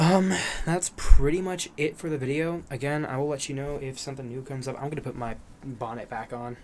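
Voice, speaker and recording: The speech moves at a moderate pace with ordinary pitch variation, and noticeable background noise sits behind it. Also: man. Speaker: vlogger. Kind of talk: casual vlog monologue. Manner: halting, with repetitions.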